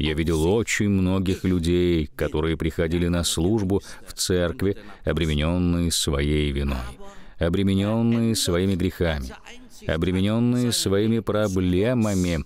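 A man speaks at a fairly slow pace in a very deep, low pitch. His loudness stays very even. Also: ordinary pitch variation. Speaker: preacher. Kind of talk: sermon. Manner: earnest, warm pulpit delivery, building points with emphasis and direct appeals.

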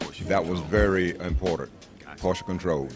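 A man talks in a very deep, low voice. Music plays clearly in the background. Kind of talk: interview answer. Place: cafe. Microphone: handheld.

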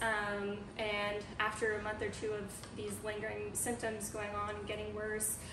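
Noticeable background noise sits behind a woman who speaks at a moderate pace in a flat, monotone way. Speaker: guest. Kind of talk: interview answer. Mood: calm, light laughs. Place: home room. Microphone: camera far.

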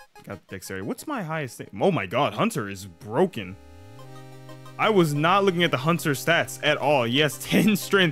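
A man speaks at a moderate pace, his loudness swinging widely. The sound is dry with no echo, and faint music plays in the background. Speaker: gaming youtuber. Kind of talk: gameplay commentary. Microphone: studio mic.

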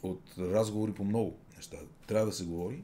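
Audible room echo surrounds a man whose dark, mellow voice sits at a fairly low pitch with ordinary pitch variation. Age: 50s. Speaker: radio host. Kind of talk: casual chat.

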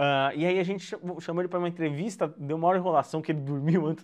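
A man talks at a very fast pace in a high pitch. The background is quiet. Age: 20s. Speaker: journalist and rap channel presenter; journalist, presenter. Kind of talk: online lecture. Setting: home, video call. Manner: halting, with many fillers. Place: home room.

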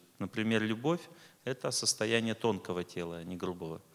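Moving fairly slowly, the male speaker's pitch shifts in an ordinary way. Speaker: lecturer. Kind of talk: lecture. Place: stage. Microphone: studio mic.

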